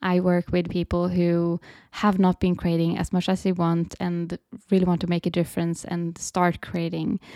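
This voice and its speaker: In a Swedish accent, a woman speaks at a moderate pace with a fairly low pitch, a dark, mellow tone and monotone, flat intonation, recorded dry and close with no echo. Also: very clean recording, silent background. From Sweden. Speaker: creative coach and podcast host. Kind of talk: casual solo talk, unscripted.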